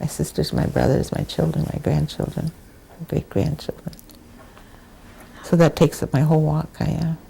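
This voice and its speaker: With an American accent, a woman speaks at a moderate pace, leaving long, frequent pauses over noticeable background noise. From Wisconsin, US. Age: 80s+. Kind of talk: oral history interview.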